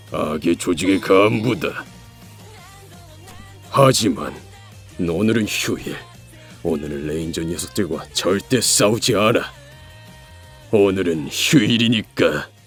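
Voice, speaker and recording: A man's put-on character voice, fairly low in pitch and fairly slow in pace, over clear music in the background. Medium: dub.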